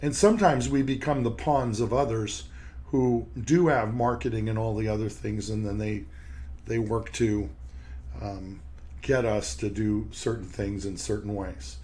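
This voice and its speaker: Against audible room echo, a man with a fairly low pitch and a dark, mellow tone speaks at a fairly slow pace, somewhat breathy, with very wide pitch swings. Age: 60s. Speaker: periodontist and podcast host. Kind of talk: podcast monologue. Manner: halting, with repeated words.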